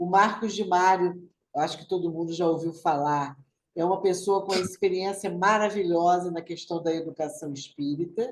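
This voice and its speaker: A woman with an ordinary speaking voice talks at a moderate pace and a fairly low pitch, her intonation fairly even. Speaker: spiritist study group coordinator. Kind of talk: online study group announcements. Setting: video call.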